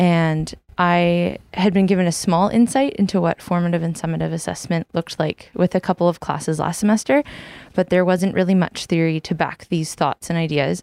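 In a Western Canadian accent, a woman speaks with ordinary pitch variation. The recording is dry and close, with no echo. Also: fairly low pitch for a woman, moderate pace. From New Westminster, British Columbia. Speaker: student teacher. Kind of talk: prepared reflection.

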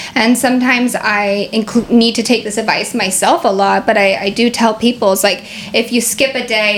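A fairly high-pitched woman with a Pacific Northwest accent, moderate pace and fairly even intonation, over noticeable background noise. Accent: American (Pacific Northwest). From US Pacific Northwest, Seattle. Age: 30s. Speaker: yoga teacher. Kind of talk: casual interview.

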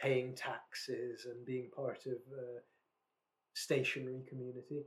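A man with a Scottish accent speaks at a fairly slow pace, his voice somewhat breathy. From Scotland, West Lothian. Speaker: podcast co-host. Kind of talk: casual chat.

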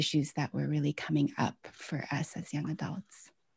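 A woman with an American accent speaks at a moderate pace in a very deep, low voice that is dark and mellow with vocal fry. The sound is dry and close with no echo, on a very clean recording with a silent background. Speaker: author and former hospital chaplain. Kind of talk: interview.

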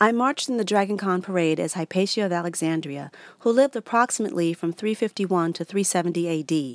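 A woman with an American accent and a medium pitch has an ordinary speaking voice, talking at a moderate pace with lively intonation in a dry, close sound with no echo. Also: very clean recording, silent background. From New York. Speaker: stand-up comedian. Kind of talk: reading aloud.

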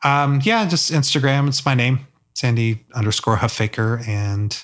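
On a very clean recording with a silent background, a man with an American accent uses an ordinary speaking voice at medium pitch with ordinary pitch variation. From US South. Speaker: photojournalist. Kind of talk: casual chat. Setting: studio.

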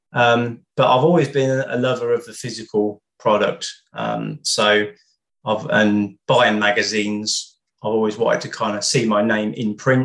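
A man with a British accent talks at medium pitch. His pace is moderate and his intonation fairly even. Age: 30s. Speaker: music journalist and author. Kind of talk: casual interview.

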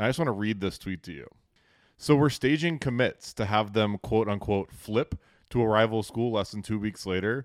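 A man speaks at a moderate pace in a fairly low voice with ordinary pitch variation, the sound dry and close with no echo. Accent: American. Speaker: podcast co-host. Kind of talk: casual chat. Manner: animated.

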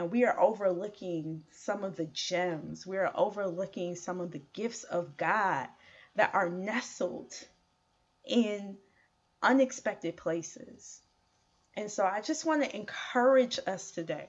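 Speaking in a normal speaking voice with an American accent, a woman uses lively intonation at a medium pitch. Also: fairly slow pace. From Chicago. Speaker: podcast host. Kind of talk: solo podcast monologue.

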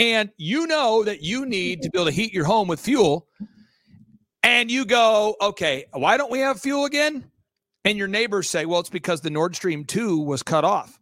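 A high-pitched man sounds animated, his bright, sharp tone moving through very wide pitch swings. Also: moderate pace. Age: 40s. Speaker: entrepreneur and podcast host. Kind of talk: interview.

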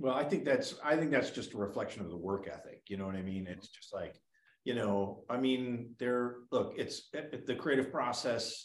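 A man with an ordinary speaking voice talks at a moderate pace and medium pitch, with ordinary pitch variation and big swings in loudness. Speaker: documentary director. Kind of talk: interview.

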